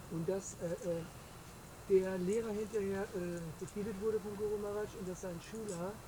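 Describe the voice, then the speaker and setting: A woman talks at a moderate pace and medium pitch, in a monotone, flat intonation. The room echo is audible, and there is noticeable background noise. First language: German. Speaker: audience member asking question. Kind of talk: Q&A question. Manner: halting.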